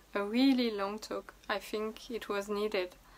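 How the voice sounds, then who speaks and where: Speaking at a fairly slow pace, a woman with a non-native accent uses a fairly high pitch and fairly even intonation. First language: not English. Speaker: vlogger and artist. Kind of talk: casual vlog monologue.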